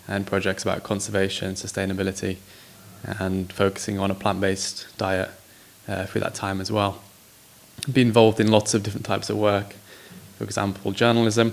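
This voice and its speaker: In an English accent, a man with a fairly low pitch speaks in a monotone, flat intonation at a fairly quick pace broken by long, frequent pauses, with noticeable background noise behind him. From England. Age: 20s. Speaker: social entrepreneur. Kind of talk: interview.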